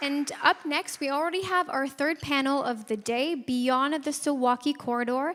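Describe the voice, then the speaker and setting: A woman talks in a Canadian accent. Her pitch is high. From Canada. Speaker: conference emcee. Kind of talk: event hosting announcements. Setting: conference stage with audience.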